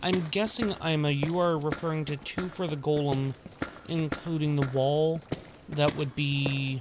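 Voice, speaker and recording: Noticeable background noise beneath speech at a fairly slow pace. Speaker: streamer. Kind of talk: casual chat. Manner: soft-spoken.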